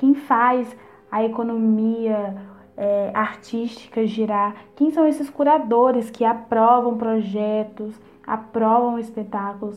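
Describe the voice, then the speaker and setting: Her pitch is fairly high, with fairly even intonation. This woman speaks at a very slow pace. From Brazil, Minas Gerais (near Barbacena). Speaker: theatre student and afro dancer. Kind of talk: interview.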